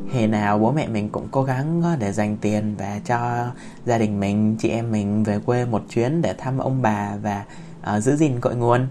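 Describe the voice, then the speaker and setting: A man with a medium-pitched voice and a gentle tone speaks at a fairly slow pace, his pitch varying in an ordinary way over audible room echo. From Vietnam. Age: 20s. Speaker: podcaster. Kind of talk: personal storytelling monologue. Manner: halting, many fillers.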